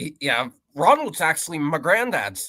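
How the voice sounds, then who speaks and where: Fairly high-pitched with vocal fry, a man speaks at a fairly slow pace in a bright, sharp tone with very wide pitch swings. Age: around 19. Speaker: podcast guest. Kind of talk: casual podcast chat. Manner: stammering.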